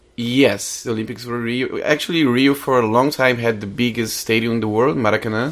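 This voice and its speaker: A man with a Portuguese accent speaks at a fairly quick pace in a medium pitch, with fairly even intonation and hardly any pauses. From Brazil, Rio de Janeiro. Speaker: guest. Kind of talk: scripted narration; casual chat. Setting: studio.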